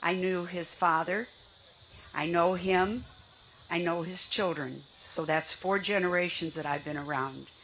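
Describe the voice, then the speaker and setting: A woman with a fairly low pitch speaks at a fairly slow pace and with fairly even intonation, with audible room echo and noticeable background noise. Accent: American. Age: 80s+. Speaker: senior advocate. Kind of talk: rally speech.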